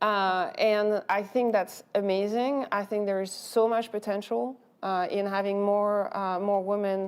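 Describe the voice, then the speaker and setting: A woman with a French accent talks at a medium pitch. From France. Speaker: venture capital investor. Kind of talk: panel discussion. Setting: stage with audience.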